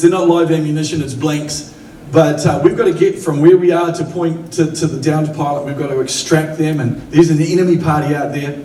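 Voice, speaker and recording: Fairly quick and fairly high-pitched, a man with a New Zealand accent talks amid audible room echo and noticeable background noise. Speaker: pastor. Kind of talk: sermon. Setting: church. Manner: animated.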